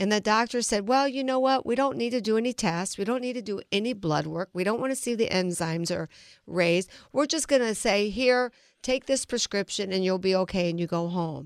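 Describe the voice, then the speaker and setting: A woman of medium pitch speaks at a fairly quick pace with lively intonation, in a normal speaking voice. The sound is dry and close with no echo, and the recording is very clean with a silent background. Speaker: financial advisor. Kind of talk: radio interview.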